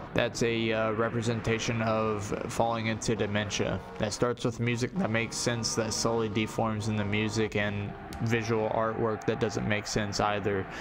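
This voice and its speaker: A man speaks in a monotone, flat intonation at very even loudness. Audible room echo surrounds him. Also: medium pitch for a man, moderate pace. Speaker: music reviewer streamer. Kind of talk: live stream music review. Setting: live stream, late night. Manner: halting, repetitive.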